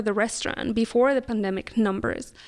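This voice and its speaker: A woman speaks with a Spanish accent at a moderate pace. Her intonation is fairly even. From Mexico City, Mexico. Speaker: business development officer and restaurant co-owner. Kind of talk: interview.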